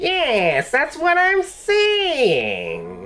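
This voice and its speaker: A high-pitched, put-on character voice. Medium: actual play. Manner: curt, evasive.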